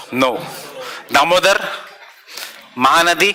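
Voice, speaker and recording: A man's voice shows ordinary pitch variation, with noticeable noise in the background. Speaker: exam coaching teacher. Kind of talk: lecture.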